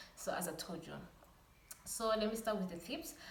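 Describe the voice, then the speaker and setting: A woman's fairly even intonation amid audible room echo. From Rwanda. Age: 20s. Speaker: lifestyle vlogger. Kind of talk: casual vlog talk to camera. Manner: some stuttering.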